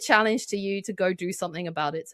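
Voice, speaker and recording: In a British accent, a woman speaks at a very fast pace with an animated tone, the sound dry and close with no echo. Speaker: marketing consultant and author. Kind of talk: podcast interview.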